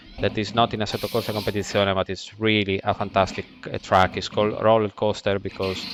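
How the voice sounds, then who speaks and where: A man with an Italian accent speaks at a fairly quick pace and a fairly low pitch. Noticeable background noise runs underneath. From Italy. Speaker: racing driver and driving coach. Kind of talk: sim racing lap guide commentary. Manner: casual, enthusiastic.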